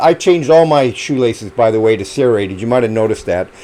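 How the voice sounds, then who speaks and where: A man talks at a fairly quick pace, and noticeable background noise can be heard. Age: 70s. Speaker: amateur runner and YouTuber. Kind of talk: casual show-and-tell video. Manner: conversational, hesitant with fillers.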